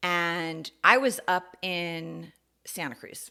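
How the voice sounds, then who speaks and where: A woman with an American accent has a fairly low voice with a bright, sharp tone, captured on a very clean recording with a silent background. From US Northeast, New York City. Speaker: podcast host. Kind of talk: personal monologue podcast. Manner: casual, conversational with fillers.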